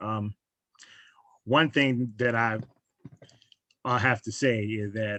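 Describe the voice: A man's slow, fairly low voice with a fairly bright tone and fairly even intonation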